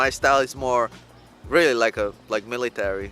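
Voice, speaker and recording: Over music in the background, a man with a Spanish accent talks at a medium pitch and a moderate pace, with ordinary pitch variation. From El Salvador. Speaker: YouTuber, couple channel co-host. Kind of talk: casual chat. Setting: outdoors in a park. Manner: direct.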